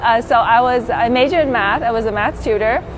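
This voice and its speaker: A woman speaks with a Vietnamese accent at a high pitch, her pitch varying in an ordinary way. Noticeable background noise and audible room echo surround her. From Vietnam, moved to the US at twelve. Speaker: pilot and flight instructor. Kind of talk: interview testimony. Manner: casual with many fillers.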